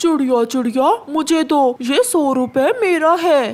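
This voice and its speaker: In a cartoonish character voice, the speaker holds a high pitch at a very slow pace. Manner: smug, gloating.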